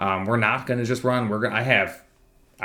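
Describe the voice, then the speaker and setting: A man mumbles at a medium pitch with fairly even intonation. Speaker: fitness coach. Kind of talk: casual monthly program overview talk. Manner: mumbling.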